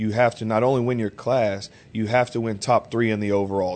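A man's medium-pitched, normal speaking voice with fairly even intonation. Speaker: professional bodybuilder and fitness coach. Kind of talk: casual interview.

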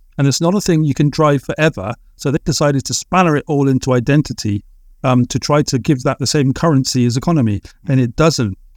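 Speaking very fast with an English accent, a man uses a fairly high pitch with ordinary variation, on a very clean recording with a silent background and a dry, close sound with no echo. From England. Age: 40s. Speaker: writer, artist and musician. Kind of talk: podcast interview. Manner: hesitant, many filler words.

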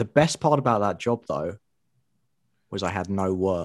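With a British accent, a man of fairly low pitch uses lively intonation on a very clean recording with a silent background. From England. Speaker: guest, online publisher. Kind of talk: casual interview chat. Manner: humorous, jokey.

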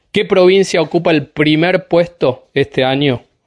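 A man speaks at a fairly slow pace in an ordinary speaking voice, his pitch varying in an ordinary way. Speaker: fire specialist. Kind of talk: radio interview.

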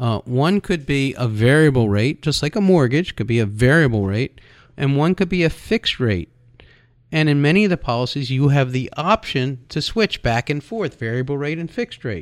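A man with a normal speaking voice, fairly high in pitch, talks at a moderate pace with lively intonation in a dry, close recording with no echo. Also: very clean recording, silent background. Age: 60s. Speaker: radio host and insurance wholesaler. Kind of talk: radio talk show monologue.

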